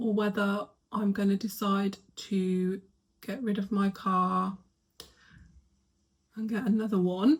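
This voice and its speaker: A soft-spoken woman talks at a very slow pace with long, frequent pauses. Her medium-pitched, somewhat breathy voice has fairly even intonation. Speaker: lifestyle vlogger. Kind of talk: casual vlog chat. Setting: bedroom at home. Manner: quiet, soft-spoken.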